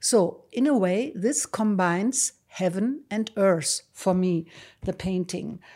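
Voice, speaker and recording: A woman with a German accent and a dark, mellow tone talks at a very slow pace in a medium pitch, her intonation lively. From Germany, Düsseldorf. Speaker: painter. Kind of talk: casual chat. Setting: studio.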